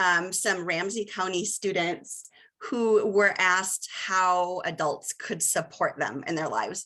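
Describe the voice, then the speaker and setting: Over a quiet background, a woman speaks very slowly at a medium pitch with a bright, sharp tone. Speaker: researcher and presenter. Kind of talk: webinar presentation. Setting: video call.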